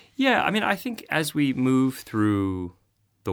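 A man with a Boston accent. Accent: American, Boston area. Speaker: nonfiction author and journalist. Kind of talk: interview.

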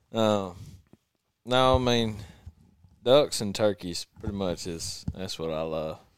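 A man with a Southern US accent speaks at a very slow pace, leaving long, frequent pauses. His loudness swings a lot. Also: ordinary pitch variation. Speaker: videographer. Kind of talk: casual chat.

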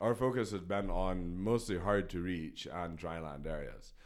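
Room echo is audible around a man's very deep, low voice. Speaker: environmental entrepreneur. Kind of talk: interview. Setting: studio.

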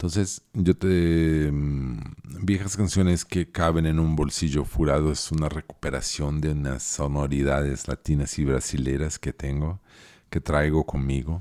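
At a fairly slow pace, the speaker's dark, mellow voice comes through dry and close with no echo, the intonation fairly even. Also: man, very deep, low pitch for a man. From Chile and southern Brazil (Porto Alegre). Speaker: musician and podcast host. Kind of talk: casual monologue. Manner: halting.

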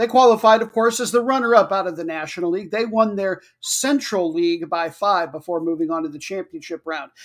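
In a very clean recording with a silent background, the words come at a fairly quick pace. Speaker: podcast host. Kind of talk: scripted-style solo soccer match previews, casual and humorous. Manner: jokey, upbeat.

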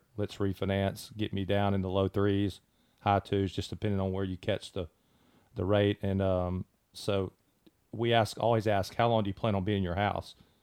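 At a moderate pace, a man speaks in a fairly low pitch with monotone, flat intonation, recorded very cleanly against a silent background with a dry, close sound and no echo. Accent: Mississippi. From Mississippi. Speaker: mortgage branch manager. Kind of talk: casual chat. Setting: studio.

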